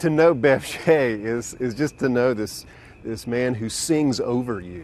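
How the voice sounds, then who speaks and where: With lively intonation and big swings in loudness, a man at medium pitch speaks in a normal speaking voice at a fairly slow pace. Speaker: pastor. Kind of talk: interview answer.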